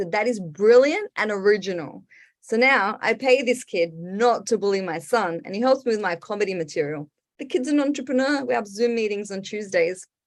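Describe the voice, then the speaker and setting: Against a quiet background, a woman with an Australian accent talks at a moderate pace and a fairly high pitch, with lively intonation. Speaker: stand-up comedian. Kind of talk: stand-up. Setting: online video show from home.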